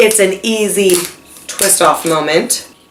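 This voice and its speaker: A woman's medium-pitched voice with ordinary pitch variation, audible room echo and noticeable background noise. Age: 20s. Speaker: vlogger, kindergarten teacher. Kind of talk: casual chat.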